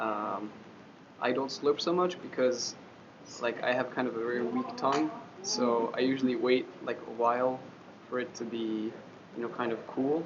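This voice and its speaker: A man with a French accent, long, frequent pauses, audible room echo and noticeable background noise. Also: medium pitch for a man, ordinary pitch variation, moderate pace. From France. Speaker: interviewee, foreign student in Japan. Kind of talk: interview answer. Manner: hesitant, many fillers.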